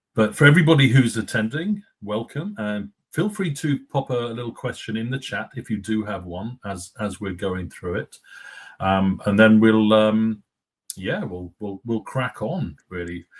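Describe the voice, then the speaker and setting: A man with an English accent speaks fairly slowly at a fairly low pitch, with ordinary pitch variation. The background is quiet. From England. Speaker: company executive, webinar host. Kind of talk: webinar discussion. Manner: halting, many fillers.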